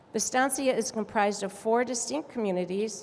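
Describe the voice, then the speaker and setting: Speaking in a plain, everyday voice with an American accent, a woman of fairly high pitch keeps a moderate pace and ordinary pitch variation. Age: 60s. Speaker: community activist. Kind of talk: conference speech.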